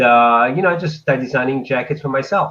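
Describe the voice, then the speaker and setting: A man at a medium pitch with lively intonation. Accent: French. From France. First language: French. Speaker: fashion designer. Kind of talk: interview.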